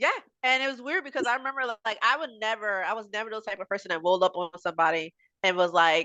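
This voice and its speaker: A woman's fairly high-pitched voice with a bright, sharp tone, lively intonation and a very fast pace. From New Jersey, US. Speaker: Army veteran, mechanic. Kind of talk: casual interview testimony.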